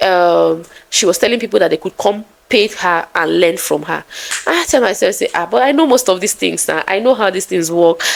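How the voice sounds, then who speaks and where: A woman with a Nigerian accent talks at a moderate pace. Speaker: content creator. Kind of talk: vlog storytelling. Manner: soft-spoken; calm.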